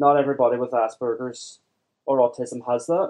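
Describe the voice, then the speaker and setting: A man's dark, mellow voice in a Derry accent, medium in pitch, at a moderate pace with fairly even intonation. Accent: Northern Irish (Derry). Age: 20s. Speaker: software developer with Asperger's. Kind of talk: interview. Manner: halting.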